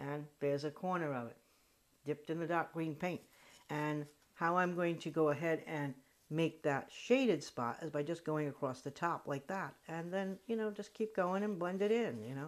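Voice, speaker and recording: A woman talks with a Rhode Island accent at a moderate pace. Her pitch is very deep and low, with ordinary variation. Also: very clean recording, silent background. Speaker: crafter. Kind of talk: craft tutorial talk. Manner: casual, chatty.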